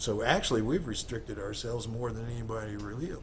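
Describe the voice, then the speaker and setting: A man speaks at a medium pitch with an American accent. His pace is moderate, and the room echo is audible. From US Midwest, Missouri Ozarks. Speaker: rock musician. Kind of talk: interview. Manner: halting, many fillers and repeats.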